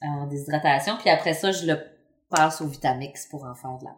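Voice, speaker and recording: This is a woman speaking. She has a Quebec accent. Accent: Québécois French. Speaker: urban market gardener. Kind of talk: casual interview. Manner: halting.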